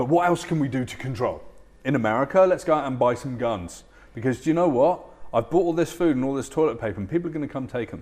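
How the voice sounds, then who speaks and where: Speaking at a very fast pace, a man with a British accent uses lively intonation. His voice sits fairly high. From UK. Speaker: futurist and keynote speaker. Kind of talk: interview. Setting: studio.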